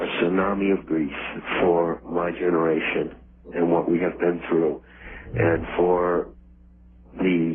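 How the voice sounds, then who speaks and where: Amid noticeable background noise, a man with a very deep, low pitch speaks very slowly in a monotone, flat intonation, with long, frequent pauses. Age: 60s. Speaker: mythology author interviewed as guest. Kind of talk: interview. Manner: halting, with repeated words.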